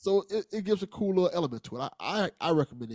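The speaker has an unremarkable speaking voice and lively intonation. The pace is fairly quick. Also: man. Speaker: podcast co-host. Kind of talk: casual banter.

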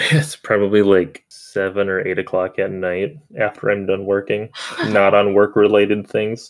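A man with a plain, everyday voice and an American accent speaks at a moderate pace, fairly low in pitch, with fairly even intonation. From Minnesota, US. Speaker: podcast host. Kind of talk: podcast recap conversation.

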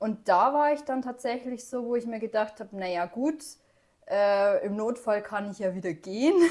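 With an unremarkable speaking voice, a woman talks at a moderate pace, fairly high in pitch with ordinary variation. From Upper Bavaria, Germany. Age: 30s. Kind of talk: casual chat.

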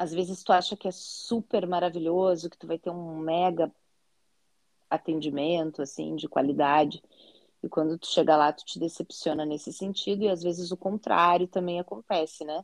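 The sound is dry and close with no echo, and the loudness swings widely. Intonation stays fairly even at a moderate pace. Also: woman, fairly low pitch for a woman. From southern Brazil, Porto Alegre. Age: 40s. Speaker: teacher and content creator, visually impaired. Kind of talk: interview.

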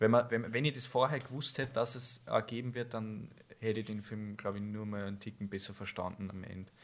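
Here is a man with a normal speaking voice, medium pitch and fairly even intonation, talking at a fairly quick pace with big swings in loudness. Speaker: podcast co-host. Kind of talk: casual chat.

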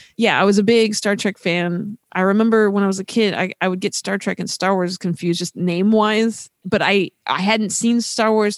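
A woman with an American accent speaks in a plain, everyday voice at medium pitch and a moderate pace, her intonation fairly even, in a very clean recording with a silent background and a dry, close sound with no echo. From US West Coast, Los Angeles. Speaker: animator, musician and actor. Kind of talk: casual chat.

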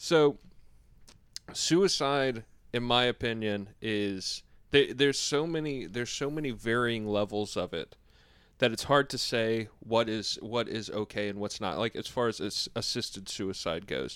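A man with an unremarkable speaking voice, medium pitch, ordinary pitch variation and a fairly slow pace, on a very clean recording with a silent background. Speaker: podcast co-host. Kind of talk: casual banter podcast chat. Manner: jokey, interrupts.

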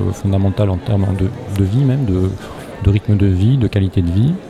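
Noticeable background noise around a man's fairly low-pitched speech. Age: 30s. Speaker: charity founder. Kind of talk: interview. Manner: halting.

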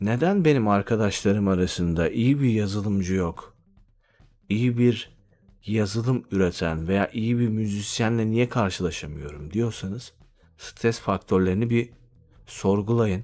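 A fairly slow delivery at a very even loudness, with ordinary pitch variation. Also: man, fairly low pitch for a man. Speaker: podcaster. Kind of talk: solo monologue.

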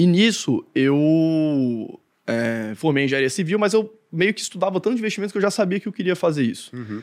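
At a high pitch for a man, he talks fairly quickly with very wide pitch swings on a very clean recording with a silent background. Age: 30s. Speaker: investment analyst and content creator. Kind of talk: casual chat.

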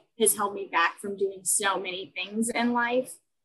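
A woman speaks at a fairly slow pace in a normal speaking voice. Her pitch is fairly high, with ordinary pitch variation. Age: 20s. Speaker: blogger. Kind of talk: interview. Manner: bubbly.

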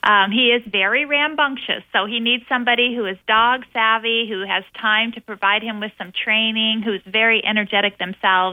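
A woman's plain, everyday voice at a moderate pace, with fairly even intonation. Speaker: animal shelter spokesperson. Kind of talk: radio interview. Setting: phone call.

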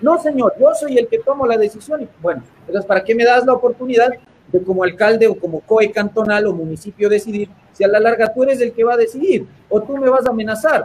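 This man talks fairly quickly in a high voice, his pitch varying in an ordinary way. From Ecuador. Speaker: constitutional lawyer. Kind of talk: interview. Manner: halting.

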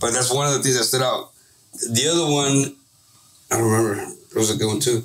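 A man talks at a medium pitch with fairly even intonation and very even loudness, leaving long, frequent pauses. Noticeable background noise is present. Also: fairly quick pace. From Santa Ana, California (Orange County). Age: 30s. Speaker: business owner, former gang member. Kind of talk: casual chat.

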